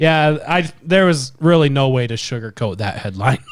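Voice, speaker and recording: A man with a normal speaking voice, fairly high in pitch, at a fairly slow pace with lively intonation. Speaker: podcast co-host. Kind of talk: casual chat.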